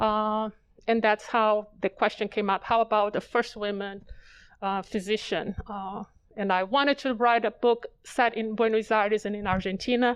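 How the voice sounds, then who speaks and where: Her intonation is monotone and flat, at a moderate pace. The woman's pitch is fairly high, and the background is quiet. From Brazil. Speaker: author and dentist. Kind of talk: author interview. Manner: hesitant, many fillers.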